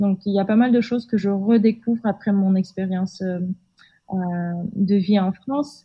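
A woman's very slow, somewhat breathy speech at medium pitch, with hardly any pauses. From Kazakhstan, Almaty. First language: Kazakh (speaking French). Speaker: podcast guest. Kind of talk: interview conversation. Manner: halting, many hesitations.

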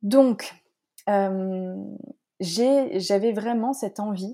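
A woman's voice, dark and mellow in tone. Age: 30s. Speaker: naturopath and coach. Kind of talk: casual interview.

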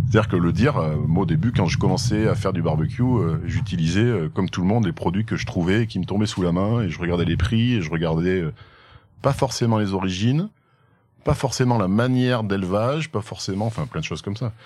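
A plain, everyday voice from a man, fairly low in pitch, with ordinary pitch variation and a fairly quick pace. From France, Haute-Loire. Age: 30s. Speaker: entrepreneur and barbecue team founder. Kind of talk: casual interview. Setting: outdoors in the countryside.

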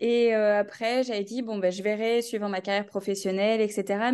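Her pitch is fairly high for a woman. She speaks at a moderate pace with monotone, flat intonation. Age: 20s. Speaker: new mother sharing birth story. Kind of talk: personal testimony interview. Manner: laughs often.

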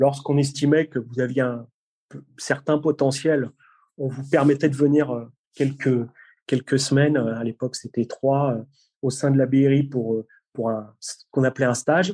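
A man with a fairly high pitch and a dark, mellow tone speaks at a fairly slow pace with fairly even intonation and long, frequent pauses. The sound is dry and close, with no echo. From Brittany, France. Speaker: police tactical unit commander. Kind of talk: interview.

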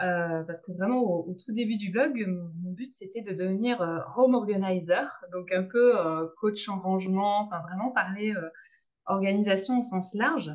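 A woman with a medium pitch and ordinary pitch variation talks at a fairly slow pace. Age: 30s. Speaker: blogger. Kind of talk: interview. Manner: halting, many repetitions and fillers.

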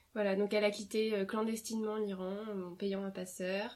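Against noticeable background noise, a woman talks at a moderate pace in a flat, monotone way. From France. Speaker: primary school teacher, former lawyer. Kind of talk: interview. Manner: hesitant, frequent fillers.

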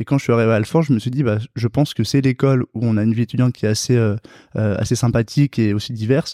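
The man's tone is dark and mellow, at medium pitch with fairly even intonation. The sound is dry and close with no echo, over a quiet background. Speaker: veterinary student and entrepreneur. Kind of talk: interview. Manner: halting.

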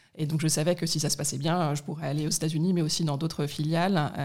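The voice is somewhat breathy and runs at a very fast pace with monotone, flat intonation. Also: woman. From Paris, France (partly raised in Middle East). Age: 40s. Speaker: corporate sustainability director. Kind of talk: interview. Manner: hesitant, many fillers.

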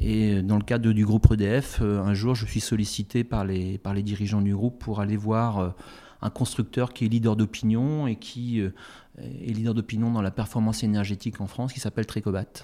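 A man's dark, mellow tone with flat, monotone intonation. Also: fairly low pitch for a man, moderate pace, very clean recording, silent background. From Brittany, Finistère. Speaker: company CEO. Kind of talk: interview. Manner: hesitant with frequent fillers.

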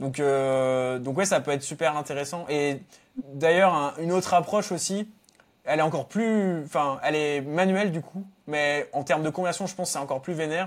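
Here is a man with an unremarkable speaking voice. His pitch is fairly high, with ordinary pitch variation. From Normandy, France. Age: 20s. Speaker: SEO freelancer. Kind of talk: casual interview.

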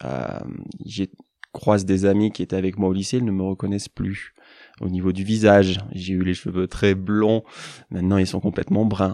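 Against a quiet background, a man with a very deep, low pitch and a dark, mellow tone speaks with fairly even intonation and long, frequent pauses. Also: moderate pace, dry, close sound with no echo. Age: 20s. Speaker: forest therapy guide. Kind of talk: casual interview. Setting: mountain chalet.

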